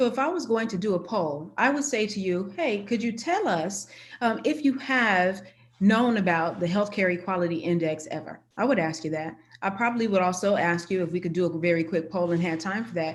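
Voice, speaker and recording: A woman at medium pitch talks at a fairly quick pace with lively intonation and audible room echo. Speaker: university chief diversity officer. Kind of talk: conference presentation. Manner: fast.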